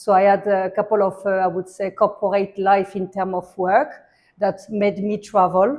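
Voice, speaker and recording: Speaking at a moderate pace with a French accent, the voice stays monotone, with flat intonation. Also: woman, medium pitch for a woman. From France. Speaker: hospitality and art entrepreneur. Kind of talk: interview.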